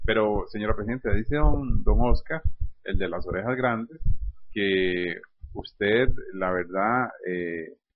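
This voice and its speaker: His voice sits fairly low for a man. The pitch moves up and down a normal amount. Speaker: radio host. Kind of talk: comedy sketch interview; radio announcement.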